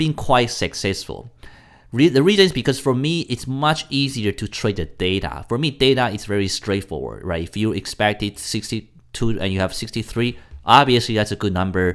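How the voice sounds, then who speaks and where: A man speaks at a moderate pace with a medium pitch. His intonation is lively, and the recording is very clean with a silent background. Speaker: forex trader, market commentator. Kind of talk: daily market commentary video. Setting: home recording late at night. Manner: halting, many self-corrections.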